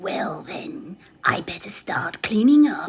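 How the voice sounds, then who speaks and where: A put-on character voice, female-sounding and growling, pitched fairly high and delivered at a fairly slow pace. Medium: solo performance. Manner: cackling, wheezy.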